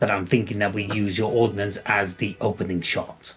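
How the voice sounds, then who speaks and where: Over faint background music, a man uses a put-on character voice with a fairly low pitch, speaking at a fairly slow pace. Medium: actual play.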